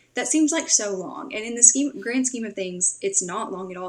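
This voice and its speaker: A woman speaks with a Tennessee accent at a fairly high pitch. Noticeable background noise sits behind her. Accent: Southern US (Tennessee). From Tennessee, US South. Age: 20s. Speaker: podcast host and social media strategist. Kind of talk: podcast interview. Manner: casual, filler-heavy.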